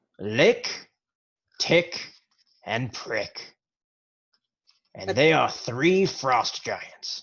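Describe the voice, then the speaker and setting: Using a put-on character voice, a man speaks very slowly at a fairly high pitch, with very wide pitch swings and long, frequent pauses. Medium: actual play. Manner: blunt, crude.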